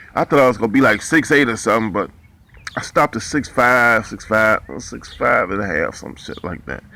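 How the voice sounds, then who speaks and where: An American-accented man talks at a fairly quick pace and medium pitch, with lively intonation and noticeable background noise. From Ohio, US (Cleveland, Ashtabula). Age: 50s. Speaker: boxing commentator and ex-boxer. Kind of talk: casual storytelling monologue. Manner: casual, halting with fillers.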